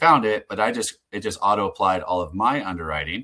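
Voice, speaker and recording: Bright, sharp tone from a man at a fairly low pitch. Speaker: software founder presenting a product demo. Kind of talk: live webinar product demo. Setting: online webinar. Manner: fast; casual with many fillers.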